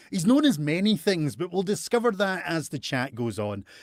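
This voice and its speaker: With a Scottish accent, a man speaks at a moderate pace using very wide pitch swings, recorded very cleanly against a silent background with a dry, close sound and no echo. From Scotland. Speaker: talk show host. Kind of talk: casual chat. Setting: live stream.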